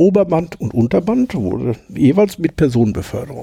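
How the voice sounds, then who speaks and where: With a dark, mellow tone and vocal fry, the voice moves at a moderate pace through very wide pitch swings. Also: man. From Ruhr area, Hamm (Westphalia). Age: 50s. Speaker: former coal miner, now train driver. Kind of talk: casual interview.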